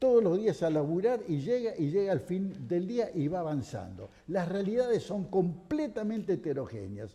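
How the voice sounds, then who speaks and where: Speaking with an Argentine accent, a man uses a high voice and lively intonation. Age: 70s. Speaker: economy commentator on TV panel. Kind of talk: TV panel discussion. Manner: animated.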